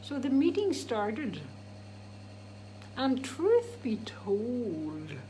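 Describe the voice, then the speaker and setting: A woman speaks at a very slow pace, with long, frequent pauses. Noticeable background noise and audible room echo fill the recording. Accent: Irish. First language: Irish. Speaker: DJ and vlogger. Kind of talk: casual vlog monologue. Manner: animated; halting.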